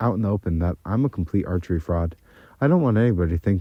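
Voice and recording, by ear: A natural voice reading aloud.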